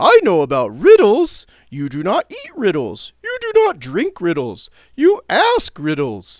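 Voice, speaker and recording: A man uses a put-on character voice at a fairly slow pace. His loudness swings widely. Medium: read story. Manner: innocent, earnest.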